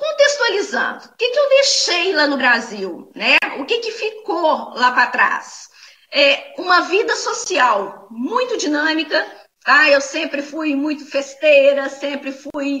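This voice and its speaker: Raising and projecting her voice, a woman speaks at a very slow pace in a high pitch, with very wide pitch swings and big swings in loudness. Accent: Minas Gerais. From Brazil, Minas Gerais (Belo Horizonte). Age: 40s. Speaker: online conference speaker. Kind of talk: talk. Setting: online talk. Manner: halting, with many fillers.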